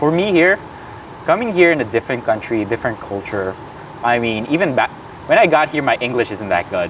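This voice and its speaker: A man's medium-pitched voice with very wide pitch swings, a fairly quick pace and long, frequent pauses, against noticeable background noise. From Philippines. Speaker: graduate student. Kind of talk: casual chat.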